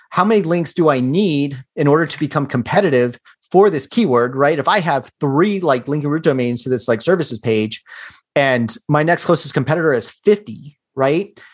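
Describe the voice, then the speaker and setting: A man with an ordinary speaking voice, fairly high in pitch, speaks at a moderate pace with lively intonation against a quiet background. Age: 30s. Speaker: digital marketing entrepreneur. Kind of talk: casual interview.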